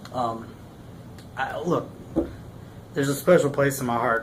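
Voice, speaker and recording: A Texan accent comes through over noticeable background noise. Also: man. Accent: Texan American. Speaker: army veteran. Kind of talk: casual talk to camera. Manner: stuttering, rambling.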